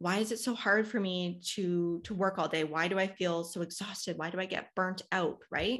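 A woman speaks in an unremarkable speaking voice at a medium pitch. Her pitch varies in an ordinary way over a quiet background. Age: 30s. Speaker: human design guide and business coach. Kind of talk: podcast interview.

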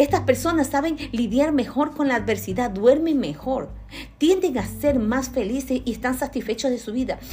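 Someone talks at a moderate pace with ordinary pitch variation, and audible room echo surrounds the voice. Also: woman, high pitch for a woman. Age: 50s. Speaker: lay preacher. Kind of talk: sermon.

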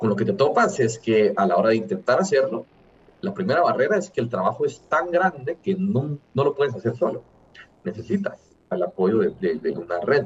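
A man with vocal fry and a fairly high pitch moves through very wide pitch swings at a moderate pace. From Guatemala. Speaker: entrepreneur. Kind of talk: interview.

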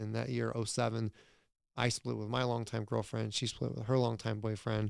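Fairly even intonation at a moderate pace in an American accent, on a very clean recording over a silent background. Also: man. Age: 30s. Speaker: entrepreneur and real estate investor. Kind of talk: casual interview.

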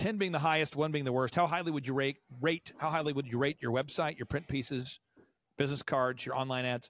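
Speaking very fast in an American accent, a man with a fairly high voice comes through dry and close with no echo on a very clean recording with a silent background. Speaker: business coach and entrepreneur. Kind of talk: interview.

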